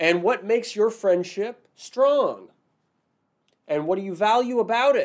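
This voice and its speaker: At a fairly slow pace with long, frequent pauses, a man speaks in a high voice with ordinary pitch variation. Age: 40s. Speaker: immigration lawyer and podcast host. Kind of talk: live-stream monologue. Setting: live video stream. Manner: casual, filler-heavy.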